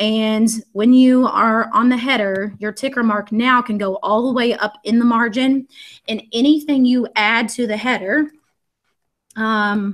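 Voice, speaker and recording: Speaking with a Southern US accent, the voice keeps a fairly slow pace and fairly even intonation. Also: woman, fairly high pitch for a woman. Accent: US South. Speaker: education technology trainer, former teacher. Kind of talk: screen-share tutorial. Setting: live video stream.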